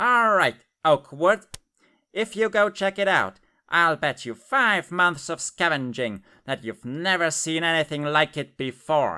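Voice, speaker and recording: The voice sits at a middle pitch on a very clean recording with a silent background. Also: moderate pace. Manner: indignant, insistent.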